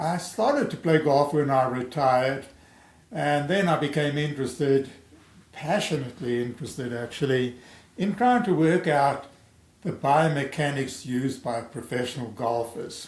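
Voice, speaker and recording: A man speaks in a fairly high, somewhat breathy voice with ordinary pitch variation. Audible room echo surrounds the recording. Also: moderate pace. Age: 70s. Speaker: amateur golf theorist, video creator. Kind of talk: personal video introduction to camera. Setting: home recording via webcam. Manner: halting, with self-corrections.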